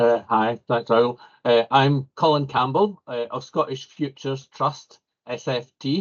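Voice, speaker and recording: Using a plain, everyday voice, a man speaks at a fairly slow pace and medium pitch with ordinary pitch variation. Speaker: civil engineer. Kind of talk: panel discussion.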